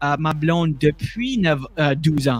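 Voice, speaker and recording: A man with an Acadian accent speaks at a fairly high pitch with fairly even intonation. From Acadian New Brunswick, Canada. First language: French. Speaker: comedian. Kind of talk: casual chat.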